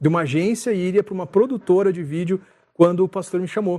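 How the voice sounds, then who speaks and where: A man speaks with a high pitch, ordinary pitch variation and a dark, mellow tone. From Rio de Janeiro, Brazil; raised in Curitiba. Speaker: church communications director. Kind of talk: casual interview chat.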